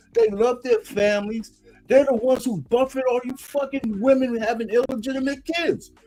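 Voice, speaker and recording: A man speaks at a moderate pace in an extremely high pitch, with music playing in the background. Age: 60s. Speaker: panelist on live stream. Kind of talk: heated debate. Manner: animated.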